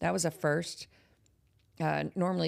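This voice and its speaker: With a Texan accent, a woman speaks at a moderate pace. The recording is very clean, and the background is silent. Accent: Texas accent, a little thicker. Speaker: horror podcast host. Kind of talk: casual chat. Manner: animated.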